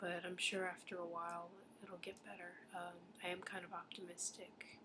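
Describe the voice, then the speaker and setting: The voice is quiet and moves at a moderate pace. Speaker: English teacher on exchange programme in Japan, video blogger. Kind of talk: casual video diary. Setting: apartment. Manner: hesitant, many fillers and restarts.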